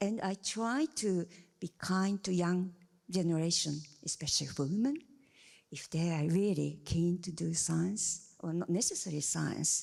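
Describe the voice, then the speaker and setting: A fairly slow delivery in a Japanese accent, with ordinary pitch variation. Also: woman, fairly low pitch for a woman. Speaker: scientist, panel member. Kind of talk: panel discussion. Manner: halting.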